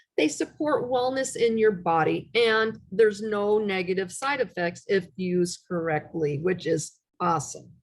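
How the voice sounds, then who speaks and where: This woman has an unremarkable speaking voice at a medium pitch. She talks at a moderate pace with lively intonation and hardly any pauses. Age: 60s. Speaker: essential oils class presenter. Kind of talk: online presentation with slides. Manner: casual, conversational with fillers.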